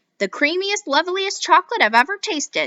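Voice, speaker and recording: Using a put-on character voice, a woman speaks at a fairly quick pace with lively intonation and an extremely high pitch. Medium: read story.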